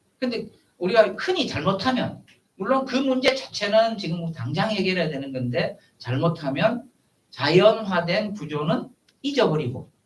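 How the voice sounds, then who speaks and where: A man talks at a fairly slow pace in a high voice. His pitch swings very widely. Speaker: professor. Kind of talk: lecture. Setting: seminar room with audience. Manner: halting, many fillers.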